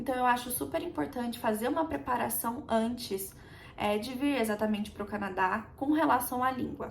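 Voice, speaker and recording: With lively intonation, a woman speaks at a high pitch. Audible room echo and noticeable background noise come through. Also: moderate pace. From Brazil. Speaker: immigrant vlogger. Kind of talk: casual chat. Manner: conversational, with hesitations.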